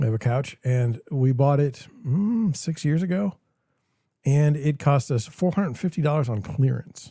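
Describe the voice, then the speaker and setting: In a very clean recording with a silent background, a man speaks at a moderate pace in a fairly high pitch. His tone is dark, mellow and somewhat breathy, with lively intonation. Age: 40s. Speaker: real estate broker and livestream host. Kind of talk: solo livestream commentary. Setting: livestream, alone at screen. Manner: casual, repetitive false starts.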